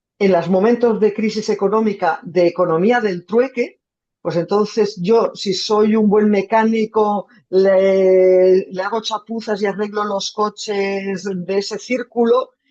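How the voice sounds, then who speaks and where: Her pitch sits in the medium range, and she talks very slowly. The woman's intonation stays monotone and flat. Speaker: journalist, foreign correspondent. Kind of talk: talk with audience Q&A. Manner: halting.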